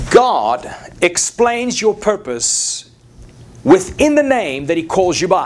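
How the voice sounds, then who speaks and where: Someone with a South African accent speaks at a very slow pace, with very wide pitch swings. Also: man, high pitch for a man. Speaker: preacher. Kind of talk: sermon.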